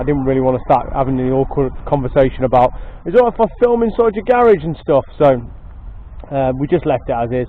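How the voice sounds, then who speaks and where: A man with an English accent talks at a very fast pace with lively intonation. Noticeable background noise is present. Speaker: motorcycle video channel host. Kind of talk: casual vlog commentary. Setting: outdoors at workplace estate. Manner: loud, shouting; hesitant, many fillers. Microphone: poor microphone sound.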